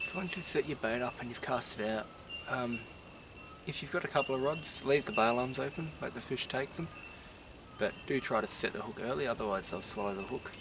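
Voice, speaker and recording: A man with an Australian accent at a fairly quick pace, over noticeable background noise. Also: medium pitch for a man, lively intonation. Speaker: angler. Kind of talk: casual fishing tutorial to camera. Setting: outdoors. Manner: quiet, kept voice down.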